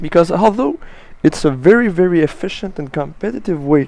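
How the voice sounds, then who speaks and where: At a moderate pace, a man with a French accent talks in a dark, mellow tone with lively intonation. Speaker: gaming commentator. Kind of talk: gameplay commentary tutorial. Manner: halting, with frequent uh and restarts.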